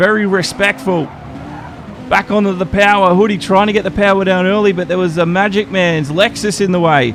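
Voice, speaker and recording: A man with an Australian accent speaks at a moderate pace in a high pitch, with noticeable background noise behind him. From Australia, Brisbane. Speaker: esports race commentator. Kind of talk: live commentary. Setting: live stream.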